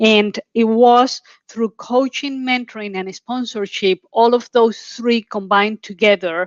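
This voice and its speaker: Her pitch is fairly high, and her intonation stays fairly even. The woman speaks at a fairly slow pace. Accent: strong Colombian. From Colombia. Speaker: oil and gas executive. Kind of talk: panel discussion.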